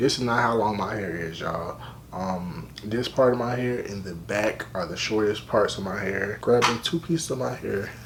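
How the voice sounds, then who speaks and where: A man with an American accent speaks at a moderate pace in a fairly low pitch, his intonation lively. Noticeable background noise is present. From Richmond, Virginia. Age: 20s. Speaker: college student, hair vlogger. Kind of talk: casual hair tutorial talk to camera. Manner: casual, conversational.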